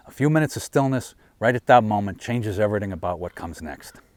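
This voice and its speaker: Very fast speech from a man, fairly low in pitch, with lively intonation. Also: very clean recording, silent background. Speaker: firearms instructor. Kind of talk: promotional pitch to camera.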